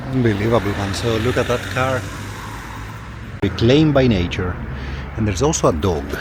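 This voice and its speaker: A man talks at a fairly quick pace with lively intonation and medium pitch, broken by long, frequent pauses. Noticeable background noise and audible room echo fill the recording. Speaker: travel vlogger. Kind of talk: walking travel vlog. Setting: outdoors. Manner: soft-spoken.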